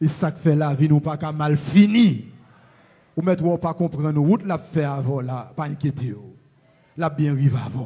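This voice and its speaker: A man with a Haitian accent speaks at a moderate pace in a fairly high, dark, mellow and somewhat breathy voice, with ordinary pitch variation, big swings in loudness, and long, frequent pauses. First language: Haitian Creole (speaking French). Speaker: pastor. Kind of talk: prayer.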